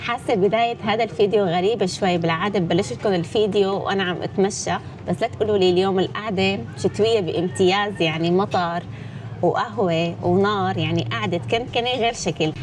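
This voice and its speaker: The voice moves at a moderate pace with lively intonation. Noticeable background noise sits behind it. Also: woman, medium pitch for a woman. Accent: Damascus. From Syria, Damascus (Midan). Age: 20s. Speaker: YouTuber, vlogger. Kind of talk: casual Q&A vlog. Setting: indoors, rainy day by a fire.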